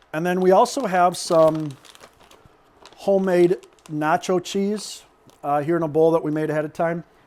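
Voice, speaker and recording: The speaker keeps a moderate pace with long, frequent pauses and fairly even intonation. Background noise is noticeable. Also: man, high pitch for a man. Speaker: cooking channel host. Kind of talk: cooking tutorial. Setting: kitchen with people in the room.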